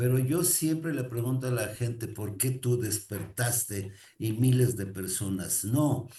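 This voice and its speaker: A man speaks at a medium pitch with a dark, mellow tone, somewhat breathy, and audible room echo around him. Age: 60s. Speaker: motivational speaker. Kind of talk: motivational talk. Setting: recorded to camera.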